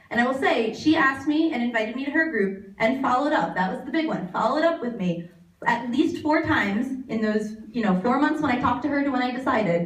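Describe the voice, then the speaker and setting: Talking at a very fast pace, a woman with high pitch and lively intonation is heard with audible room echo and noticeable background noise. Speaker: fitness coach. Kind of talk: speech to event audience.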